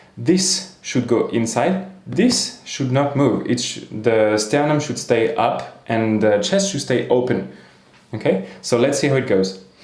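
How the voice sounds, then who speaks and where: A man speaks at a fairly slow pace with lively intonation and a slight French accent, over noticeable background noise and audible room echo. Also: medium pitch for a man. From France. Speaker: singing teacher. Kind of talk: tutorial.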